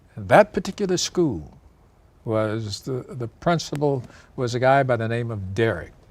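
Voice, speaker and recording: A man's medium-pitched voice with very wide pitch swings, at a fairly slow pace. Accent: American. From Michigan and Tennessee. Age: 80s+. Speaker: retired professor. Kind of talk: interview.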